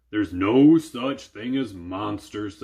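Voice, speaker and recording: Using a put-on character voice, a man speaks at a fairly slow pace and a fairly low pitch. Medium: read story. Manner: gruff, stammering when scared.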